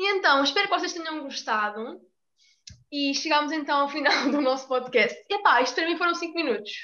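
A woman talks at a fairly quick pace in a raised, projected voice with lively intonation. Her pitch is high and her tone bright and sharp. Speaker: student podcast host. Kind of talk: casual chat.

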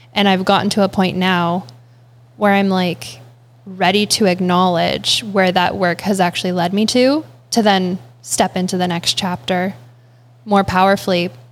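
A plain, everyday voice with a Canadian accent at a moderate pace, very even in loudness, in a very clean recording with a silent background. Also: woman, medium pitch for a woman, ordinary pitch variation. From Ontario, Canada (Guelph). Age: young. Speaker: barista and meditation coach. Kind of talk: interview conversation. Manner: calm.

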